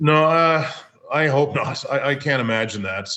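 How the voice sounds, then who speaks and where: Here a man talks at a moderate pace with a Maritime Canadian accent. His intonation is lively. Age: 50s. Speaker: hockey play-by-play broadcaster. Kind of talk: casual interview. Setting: remote call.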